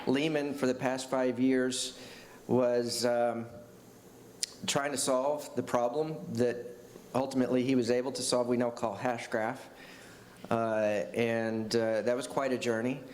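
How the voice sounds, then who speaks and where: A man with an American accent and medium pitch speaks at a fairly slow pace in a monotone, flat way, with long, frequent pauses, noticeable background noise and audible room echo. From Texas. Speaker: tech executive. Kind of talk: panel discussion.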